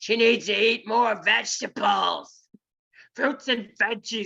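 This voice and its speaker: A female-sounding, put-on character voice shouts at a fairly high pitch and a fairly slow pace. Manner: yelling, scolding.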